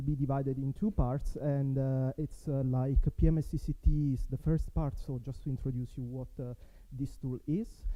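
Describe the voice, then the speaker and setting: Spoken with an Italian accent, the voice has a dark, mellow tone and big swings in loudness. The pace is moderate, with hardly any pauses. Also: man. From Italy. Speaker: network software developer, conference speaker. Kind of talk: conference talk. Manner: halting, many fillers.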